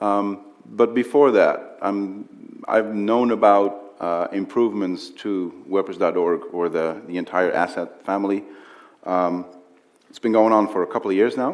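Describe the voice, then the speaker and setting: A man with a Dutch accent speaks fairly slowly, his intonation fairly even. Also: fairly low pitch for a man. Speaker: interviewer. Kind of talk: on-stage interview. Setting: stage with audience.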